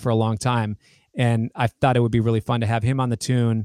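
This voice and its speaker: An ordinary speaking voice from a man, medium in pitch and fairly quick in pace, on a very clean recording with a silent background and a dry, close sound with no echo. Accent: American. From United States. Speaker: guitarist and musician. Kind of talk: casual interview chat.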